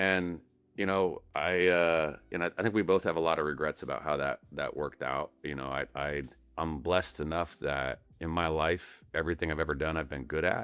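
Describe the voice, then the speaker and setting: Vocal fry runs through a man's very deep, low voice. He speaks at a moderate pace with an American accent. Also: fairly even intonation. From Colorado, US. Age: 50s. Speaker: tech company founder and CEO. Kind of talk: podcast interview. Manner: halting, many repeated words.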